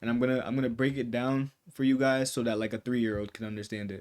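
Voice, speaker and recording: A man talks at a fairly quick pace in a flat, monotone intonation. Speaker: day trading YouTuber. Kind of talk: tutorial. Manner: fast; casual, many fillers.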